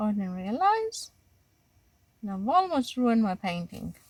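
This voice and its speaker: Speaking at a fairly slow pace, a woman with a strong Greek accent has a fairly high pitch. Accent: Greek accent, still strong. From Greece. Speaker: watercolor art teacher. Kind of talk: tutorial. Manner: halting, many fillers and restarts.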